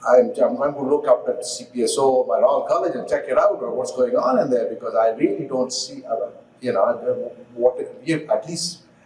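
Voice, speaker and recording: A man speaks at a moderate pace. Noticeable background noise runs beneath his voice. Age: old. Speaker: audience member, urologist. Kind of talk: Q&A question from audience. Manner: halting.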